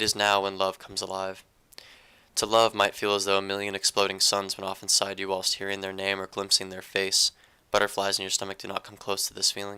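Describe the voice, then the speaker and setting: Fairly quick and flat, this man's fairly low voice has a bright, sharp tone, big swings in loudness and monotone intonation. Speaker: amateur poet. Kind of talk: poetry reading. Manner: halting.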